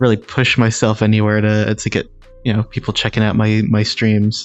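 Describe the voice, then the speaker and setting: The speech holds a very even loudness and a monotone, flat intonation. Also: man, fairly low pitch for a man, moderate pace. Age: 20s. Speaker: streamer. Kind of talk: casual live stream chat. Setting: VR live stream. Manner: halting, many fillers. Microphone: echo.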